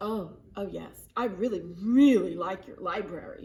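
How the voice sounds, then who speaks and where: A woman uses a put-on character voice at a medium pitch. She speaks at a fairly slow pace. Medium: read story. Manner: loud.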